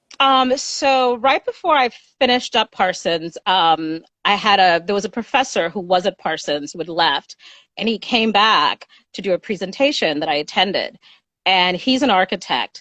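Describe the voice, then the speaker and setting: In a dry, close recording with no echo, a woman talks at a moderate pace and medium pitch, with a bright, sharp tone and lively intonation. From Haiti. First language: French. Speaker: interior designer. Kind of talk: interview. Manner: hesitant, many ums and ahs.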